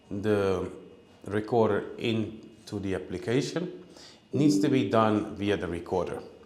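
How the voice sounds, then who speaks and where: A man talks at a fairly slow pace while audible room echo hangs around his words. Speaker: product trainer. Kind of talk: webinar tutorial. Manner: halting with fillers.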